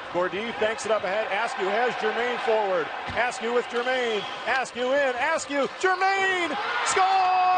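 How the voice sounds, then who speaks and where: Noticeable background noise sits behind a man whose extremely high voice makes very wide pitch swings. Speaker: hockey play-by-play announcer. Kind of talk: live sports commentary, play-by-play call of a hockey game. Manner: rapid-fire, clipped, breathless play-by-play; rises in excitement on goals and close calls, unsure and questioning on a disputed goal.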